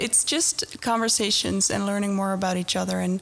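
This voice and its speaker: A woman speaks with a Dutch accent. There is noticeable background noise. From Netherlands. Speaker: corporate recruiter, mentor. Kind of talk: podcast interview. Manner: halting.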